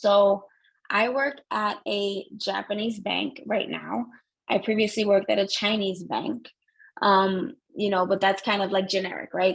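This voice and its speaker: With an American accent and some vocal fry, a woman speaks at a medium pitch and moderate pace with ordinary pitch variation. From New Jersey, Jersey City. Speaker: banking compliance professional and business owner. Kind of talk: interview. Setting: phone call. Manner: casual, many fillers.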